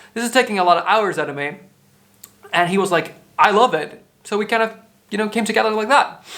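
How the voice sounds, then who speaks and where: A man speaks at a fairly quick pace with a bright, sharp tone. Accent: Dutch. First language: Dutch. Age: 20s. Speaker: podcaster. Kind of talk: casual monologue, answering questionnaire. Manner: casual, low key.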